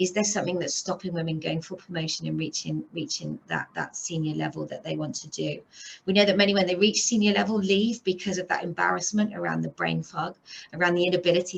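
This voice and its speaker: A woman rushes along at a very fast pace while noticeable background noise plays behind her. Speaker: police officer. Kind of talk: presentation.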